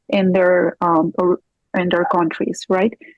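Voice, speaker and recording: A woman with a Spanish accent at a moderate pace, her voice medium-pitched, with music in the background. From Peru. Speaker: divorce coach and forensic accountant. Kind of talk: interview.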